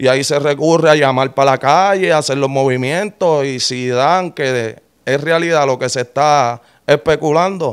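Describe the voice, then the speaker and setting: At a moderate pace, a man with a fairly high pitch talks with ordinary pitch variation over a quiet background. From Puerto Rico. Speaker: rapper, former prisoner; interview guest. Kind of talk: interview. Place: studio. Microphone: studio mic.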